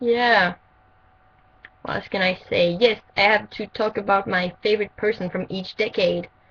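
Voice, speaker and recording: At a fairly slow pace, a woman with a French accent speaks with fairly even intonation and long, frequent pauses. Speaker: vlogger. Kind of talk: casual vlog. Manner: halting, many fillers.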